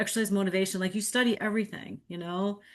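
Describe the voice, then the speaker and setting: The woman's voice sits at a medium pitch, and the background is quiet. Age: 50s. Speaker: podcast host. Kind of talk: casual conversational podcast interview. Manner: halting, with many repeated words.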